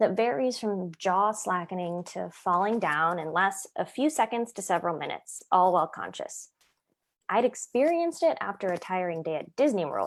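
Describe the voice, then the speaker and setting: A woman's ordinary speaking voice in a General American accent, medium in pitch with lively intonation, at a moderate pace, on a very clean recording with a silent background. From Ohio, US Midwest. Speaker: actor and writer. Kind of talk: essay reading.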